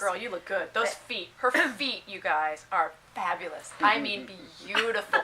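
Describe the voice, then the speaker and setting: A woman at a medium pitch speaks at a moderate pace with very wide pitch swings and big swings in loudness, over noticeable background noise. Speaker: dance vlogger. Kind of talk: interview question.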